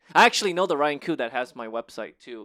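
A man's bright, sharp, animated, playful tone with lively intonation, in a dry, close sound with no echo on a very clean recording with a silent background. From born in Korea, raised in the US. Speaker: actor and stand-up comedian. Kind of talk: casual chat. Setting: home recording.

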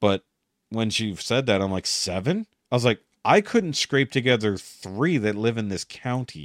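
A man with an unremarkable speaking voice, medium pitch, lively intonation and a moderate pace. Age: 40s. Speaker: podcast host. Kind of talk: casual chat.

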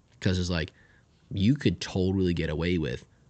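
A man speaks at a very deep, low pitch. His voice carries vocal fry. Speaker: podcast co-host. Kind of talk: casual chat.

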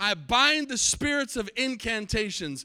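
A man's raised, projected voice with an American accent, extremely high in pitch, bright and sharp in tone, with lively intonation at a fairly slow pace. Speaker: pastor. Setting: church service with live congregation. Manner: fervent and emphatic, punchy repeated declarations; loose, self-interrupting delivery with restarts and asides.

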